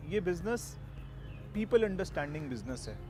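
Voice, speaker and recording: Very wide pitch swings along with vocal fry. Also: man. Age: 40s. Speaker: network marketing distributor. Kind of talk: testimony.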